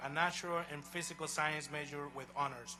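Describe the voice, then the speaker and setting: A man with a Honduran accent, a bright, sharp tone, moderate pace and audible room echo. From Honduras. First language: Spanish. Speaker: college president. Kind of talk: commencement speech. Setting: outdoor stadium ceremony with audience. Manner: formal.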